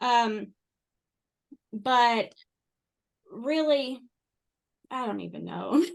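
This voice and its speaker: In a strong Kentucky accent, a woman speaks at a very slow pace with long, frequent pauses. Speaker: interview guest sharing life story. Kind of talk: podcast interview, personal testimony. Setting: podcast recording.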